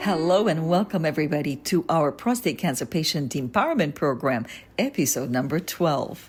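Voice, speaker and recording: Music plays behind a woman with a very deep, low pitch. She talks at a moderate pace with lively intonation and very even loudness. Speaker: podcast host. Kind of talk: podcast interview host.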